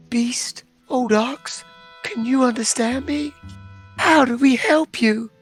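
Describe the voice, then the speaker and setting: Someone uses a put-on character voice at a fairly high pitch and a fairly slow pace. Faint music plays in the background. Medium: actual play. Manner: earnest, lofty.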